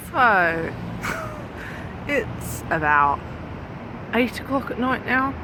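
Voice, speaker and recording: In a British accent, a woman talks at a very slow pace. Noticeable background noise runs underneath. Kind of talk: casual vlog talk to camera. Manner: chatty, babbling.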